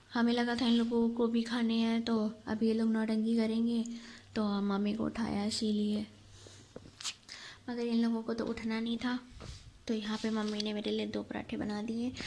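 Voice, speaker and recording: A woman's fairly high, monotone, flat voice over noticeable background noise. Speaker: family vlogger. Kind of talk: casual vlog narration.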